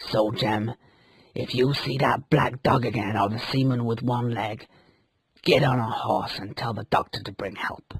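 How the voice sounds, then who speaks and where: A man's growling, put-on character voice at a medium pitch. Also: moderate pace. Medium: read story.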